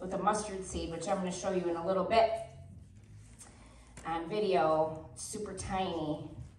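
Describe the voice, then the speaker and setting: At a moderate pace, a woman speaks amid light background noise and audible room echo. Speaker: preacher. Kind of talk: sermon. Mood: lively, warm. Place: church. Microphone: camera far.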